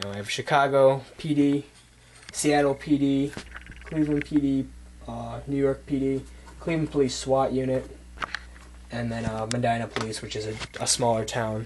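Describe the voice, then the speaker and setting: Moderate pace with fairly even intonation, big swings in loudness, long, frequent pauses and noticeable background noise. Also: man, medium pitch for a man. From United States, Polish immigrant family. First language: Polish. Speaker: gun reviewer. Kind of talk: casual product show-and-tell. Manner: casual, with many fillers.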